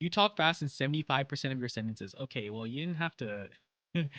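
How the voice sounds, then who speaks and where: Against a quiet background, a man's bright, sharp voice swings very widely in pitch, with a dry, close sound and no echo. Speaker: streamer. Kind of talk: casual chat. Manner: fast; stumbling, repeats words.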